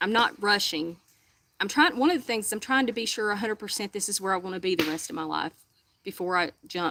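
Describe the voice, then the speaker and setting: A woman speaks at a fairly quick pace with lively intonation. Her tone is bright and sharp, at a medium pitch. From Alabama, Hartselle. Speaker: livestreamer. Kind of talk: casual chat.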